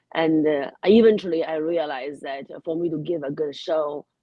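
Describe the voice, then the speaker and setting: Speaking with a Chinese accent, a woman has a very deep, low pitch and ordinary pitch variation. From China. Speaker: comedian. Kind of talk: radio interview.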